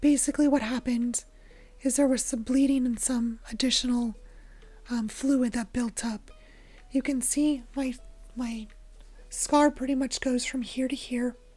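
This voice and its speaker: Music plays in the background as a woman speaks at a high pitch. Her pace is fairly slow and her intonation is monotone and flat. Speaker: YouTuber, Minecraft content creator. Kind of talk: casual vlog update. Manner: halting. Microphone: quiet voice, checking the mic picks it up.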